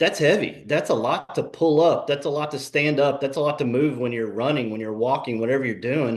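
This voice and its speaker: In a normal speaking voice, this man moves fairly quickly, his pitch varying in an ordinary way. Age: 40s. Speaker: fitness program client. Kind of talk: testimony. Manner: casual.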